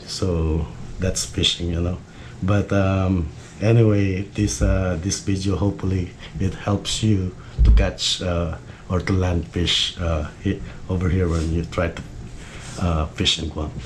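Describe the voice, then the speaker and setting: A man's very deep, low voice, fairly slow with long, frequent pauses and ordinary pitch variation, amid noticeable background noise. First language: Filipino. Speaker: fishing YouTuber. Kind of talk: tutorial. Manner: halting, many fillers.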